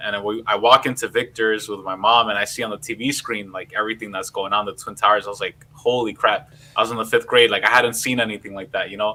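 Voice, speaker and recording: In a New York accent, a man at medium pitch speaks at a very fast pace with hardly any pauses. His intonation is monotone and flat, while his loudness swings widely. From New York City, Queens. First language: Spanish. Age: 30s. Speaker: political podcast host. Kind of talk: casual livestream discussion. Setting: live stream.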